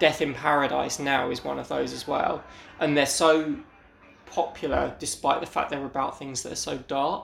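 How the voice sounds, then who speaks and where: Noticeable background noise sits behind a man with a British accent. His fairly high pitch stays monotone and flat at a moderate pace. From Britain. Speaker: podcast host. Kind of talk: solo episode commentary.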